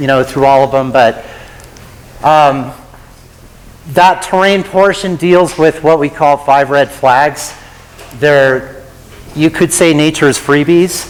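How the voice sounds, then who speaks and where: Over noticeable background noise, a man with fairly high pitch speaks at a very slow pace, his intonation fairly even and broken by long, frequent pauses. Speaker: avalanche safety presenter. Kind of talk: lecture.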